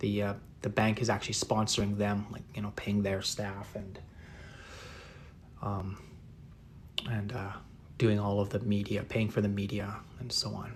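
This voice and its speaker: At a moderate pace, a man speaks in a relaxed tone with fairly low pitch, monotone, flat intonation and long, frequent pauses. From northeast England. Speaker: artist. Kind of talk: live painting tutorial and chat. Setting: livestream. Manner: relaxed, many fillers.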